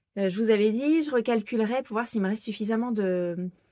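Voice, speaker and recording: A woman's dark, mellow tone with lively intonation, a moderate pace and dry, close sound with no echo. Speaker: sewing pattern designer and knitting vlogger. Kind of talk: casual vlog podcast. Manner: hesitant with many fillers.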